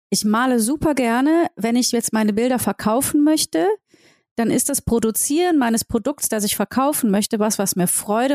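A woman with a plain, everyday voice speaks at a moderate pace, her pitch fairly high and her intonation lively. The recording is very clean with a silent background, the sound dry and close with no echo, and her loudness very even. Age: 40s. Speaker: entrepreneur and singer. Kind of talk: interview. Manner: casual.

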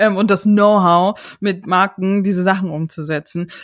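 A woman at a moderate pace. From Chemnitz, Saxony, Germany. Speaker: podcast host. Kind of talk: interview. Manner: animated.

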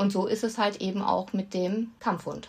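A somewhat breathy woman speaks at medium pitch and a moderate pace. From North Rhine-Westphalia, Germany. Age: 40s. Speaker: animal welfare association chair. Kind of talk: casual interview.

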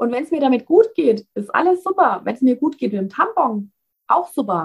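A woman with a Bavarian accent speaks at a high pitch with very wide pitch swings. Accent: Bavarian, audible. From Bavaria, Germany. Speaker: founder of a cloth menstrual pad business. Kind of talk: casual interview.

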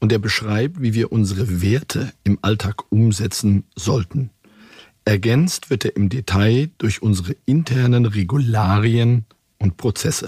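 A man speaks at a fairly slow pace with a medium pitch and ordinary pitch variation. His voice is somewhat breathy, with very even loudness. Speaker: bank CEO. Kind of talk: internal corporate interview. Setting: studio.

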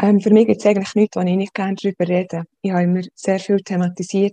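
A woman with a Swiss accent talks at a fairly quick pace, her dark, mellow tone held in fairly even intonation. The sound is dry and close with no echo, over a quiet background. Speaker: social worker. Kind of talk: interview.

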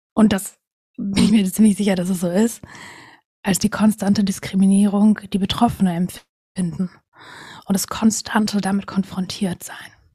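A woman with a medium pitch speaks at a moderate pace, leaving long, frequent pauses. Her voice is somewhat breathy with a dark, mellow tone and monotone, flat intonation. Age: 20s. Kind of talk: casual interview.

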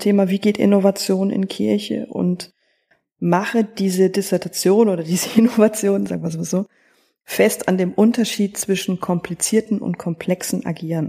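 The voice belongs to a woman with a dark, mellow tone. She keeps a moderate pace. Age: 30s. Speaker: theologian, church innovation officer. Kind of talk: podcast interview.

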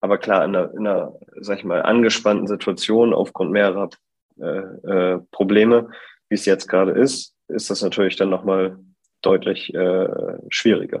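A man talks at a fairly low pitch and a moderate pace. His intonation is monotone and flat. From northern Germany, Bremen. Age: 20s. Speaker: fashion brand co-founder. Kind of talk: interview. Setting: online call. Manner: hesitant, many fillers.

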